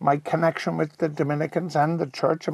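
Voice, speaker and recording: A man with a Cork accent, fairly high in pitch, fairly quick, with fairly even intonation. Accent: Cork Irish. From Cork, Ireland. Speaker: broadcaster and rugby commentator. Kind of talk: interview answer.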